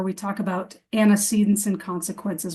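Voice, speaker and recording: The voice is somewhat breathy and moves at a fairly quick pace. The background is quiet. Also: woman. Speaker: behavior specialist presenting to educators. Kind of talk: webinar presentation. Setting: online webinar. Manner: fast.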